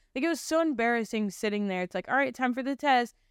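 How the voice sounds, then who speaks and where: Dry and close with no echo, a woman's fairly high voice, an unremarkable speaking voice with ordinary pitch variation, sits on a very clean recording with a silent background. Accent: American. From Ohio, US Midwest. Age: 20s. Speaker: podcast host, church staff member. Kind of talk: personal testimony. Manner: casual, filler-heavy speech.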